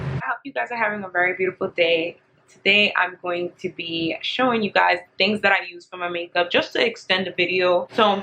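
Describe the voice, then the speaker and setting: Amid noticeable background noise, a woman talks at a fairly quick pace with hardly any pauses, ordinary pitch variation and big swings in loudness. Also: medium pitch for a woman. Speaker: beauty vlogger. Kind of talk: get ready with me chat. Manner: casual, laughing.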